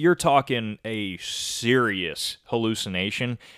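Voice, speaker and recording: A man with a western New York accent speaks at a very slow pace and medium pitch, the sound dry and close with no echo. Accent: western New York American. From US, Rochester NY. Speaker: podcast co-host. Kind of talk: casual chat.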